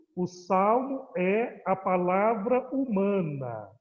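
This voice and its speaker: Here a man speaks with a high pitch. His intonation is lively. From Ceará, Brazil. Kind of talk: lecture.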